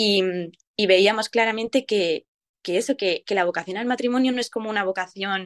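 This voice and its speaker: With a plain, everyday voice, a woman at medium pitch talks at a fairly quick pace against a quiet background, the sound dry and close with no echo. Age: 20s. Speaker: nurse and youth event volunteer. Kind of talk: radio interview.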